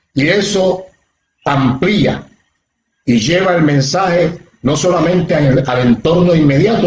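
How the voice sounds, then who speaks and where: A man has a normal speaking voice at a fairly high pitch with ordinary pitch variation. He keeps a fairly slow pace and very even loudness. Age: 60s. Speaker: pastor. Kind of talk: sermon. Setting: livestream on social media.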